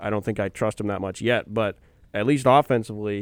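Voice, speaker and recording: A man's fairly low-pitched, an unremarkable speaking voice with an American accent, fairly even intonation, and a dry, close sound with no echo on a very clean recording with a silent background. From Wisconsin. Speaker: student sports radio co-host. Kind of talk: casual sports chat.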